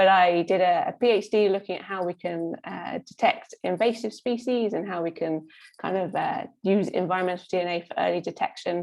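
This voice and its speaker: A woman with a British accent talks at a fairly quick pace, her medium-pitched voice keeping fairly even intonation. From UK. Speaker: scientist. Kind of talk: panel introduction. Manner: hesitant, many fillers.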